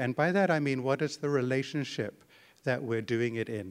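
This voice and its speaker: A man speaks at a moderate pace in a fairly high pitch, with ordinary pitch variation. The recording is very clean, with a silent background. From Zimbabwe. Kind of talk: teaching session on prayer. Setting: conference breakout room with live audience.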